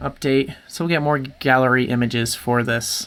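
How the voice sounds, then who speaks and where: Fairly even intonation runs through this speech. The pace is fairly slow. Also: man. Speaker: WordPress tutorial maker. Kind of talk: screen-share tutorial.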